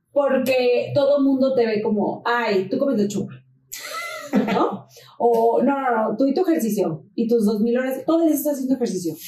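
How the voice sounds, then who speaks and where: With lively intonation and a high pitch, a woman speaks at a moderate pace at very even loudness over noticeable background noise. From Mexico, La Paz (Baja California Sur). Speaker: fitness influencer and trainer. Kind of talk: casual interview chat.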